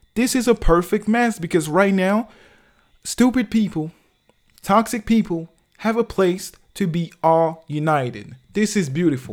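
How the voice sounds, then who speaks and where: A high-pitched man at a fairly slow pace, animated in tone with lively intonation, on a very clean recording with a silent background. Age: 20s. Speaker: social commentary vlogger. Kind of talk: casual monologue. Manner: animated, repetitive filler-heavy speech.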